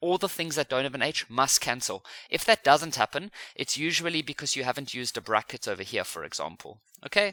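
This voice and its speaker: A man with a fairly high, bright, sharp voice speaks at a fairly quick pace with lively intonation and vocal fry, recorded very cleanly against a silent background with a dry, close sound and no echo. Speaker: maths teacher. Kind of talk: tutorial.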